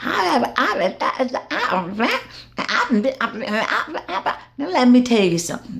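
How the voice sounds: A woman mumbles in a put-on character voice at a fairly high pitch. She goes very slowly, with long, frequent pauses.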